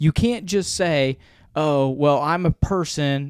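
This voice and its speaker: A man speaks with a fairly high pitch. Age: 40s. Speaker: podcast co-host. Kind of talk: casual chat.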